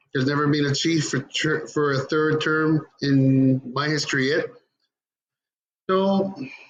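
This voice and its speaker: A somewhat breathy man speaks at a fairly high pitch and a fairly slow pace, leaving long, frequent pauses. His loudness is very even and his intonation fairly even. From Labrador, Canada (Innu community). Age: 40s. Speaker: First Nation chief. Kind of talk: conference presentation. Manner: halting.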